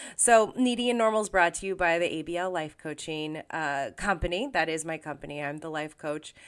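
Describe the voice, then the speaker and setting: A woman speaks at a fairly quick pace in a relaxed tone, her very deep, low pitch showing ordinary variation, on a very clean recording with a silent background. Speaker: podcast host and life coach. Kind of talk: casual podcast monologue. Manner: relaxed, with frequent fillers.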